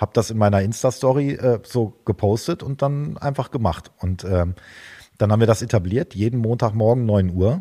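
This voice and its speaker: Here is a man with an unremarkable speaking voice and a medium pitch. He talks at a moderate pace with ordinary pitch variation. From northwestern Germany, Osnabrück. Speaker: drummer and drum teacher. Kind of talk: interview. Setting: video call.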